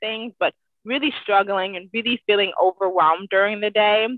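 A woman with an American accent has an ordinary speaking voice at a fairly high pitch. She keeps a moderate pace with ordinary pitch variation. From US Midwest, Cleveland, Ohio. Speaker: mental health advocate. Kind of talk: interview.

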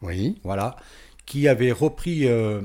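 A man's dark, mellow tone. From France, Valence (Drôme). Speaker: radio DJ. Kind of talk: interview. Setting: in person on location.

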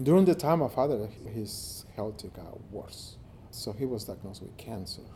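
A man's somewhat breathy voice, dark and mellow in tone, with lively intonation and a moderate pace. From Mexico. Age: 50s. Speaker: nonprofit executive director. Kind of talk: personal testimony interview.

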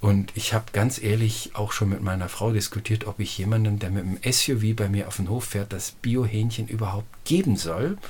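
With a somewhat breathy, fairly low voice, a man talks at a moderate pace, his intonation fairly even. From Lower Saxony, northern Germany. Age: 50s. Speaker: organic farmer. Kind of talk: interview. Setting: at home, face to face. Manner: hesitant, many fillers.

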